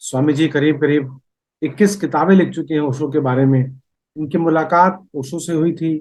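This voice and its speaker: Man with a fairly high pitch, ordinary pitch variation and a moderate pace. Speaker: podcast host. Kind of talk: podcast interview questions.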